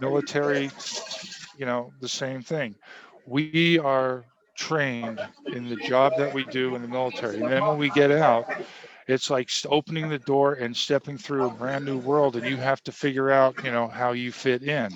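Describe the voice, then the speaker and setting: A man of medium pitch talks at a moderate pace in an unremarkable speaking voice. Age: 60s. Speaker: navy veteran and nutrition product seller. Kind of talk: interview.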